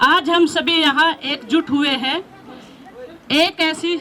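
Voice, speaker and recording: A woman speaks with fairly even intonation. Crowd noise runs in the background. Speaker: school teacher. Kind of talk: farewell speech. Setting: school retirement ceremony.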